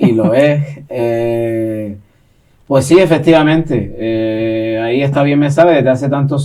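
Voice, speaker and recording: A man with a Canary Islands accent has a dark, mellow tone at medium pitch, with ordinary pitch variation. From Gran Canaria, Canary Islands. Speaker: poet and secondary school teacher. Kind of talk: interview answer.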